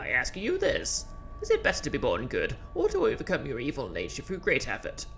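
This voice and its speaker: A put-on character voice at a fairly quick pace over clear music in the background. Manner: cartoonish, put-on.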